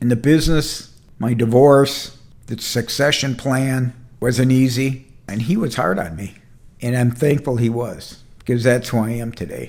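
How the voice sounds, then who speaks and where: Spoken at a fairly slow pace, a normal speaking voice carries ordinary pitch variation. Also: man, medium pitch for a man. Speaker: entrepreneur and mentor. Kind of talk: casual talk to camera. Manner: conversational, candid, heartfelt.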